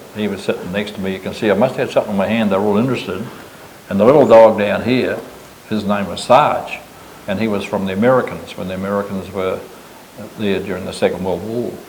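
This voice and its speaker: A man with a New Zealand accent at a fairly low pitch and a very fast pace, fairly even in intonation, with audible room echo and noticeable background noise. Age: 80s+. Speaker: business owner. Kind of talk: casual chat.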